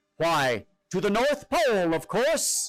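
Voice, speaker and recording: A man's put-on character voice, high in pitch, with very wide pitch swings, a fairly slow pace and music in the background. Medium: read story. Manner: calm, assured.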